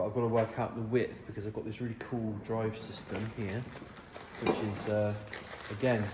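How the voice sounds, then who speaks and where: A quiet man speaks at a medium pitch and a fairly quick pace, in a monotone, flat intonation. Audible room echo and noticeable background noise fill the recording. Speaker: fabricator, workshop builder. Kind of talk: workshop tutorial, casual chat. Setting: workshop. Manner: quiet, low-energy; casual, chatty.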